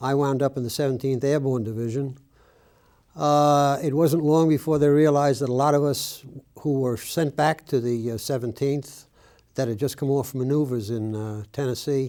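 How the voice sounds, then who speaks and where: Using a dark, mellow tone, a man with an American accent speaks at a fairly high pitch and moderate pace with fairly even intonation. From New York City (Brooklyn). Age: 80s+. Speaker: war veteran. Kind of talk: oral history interview. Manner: halting, frequent uh fillers.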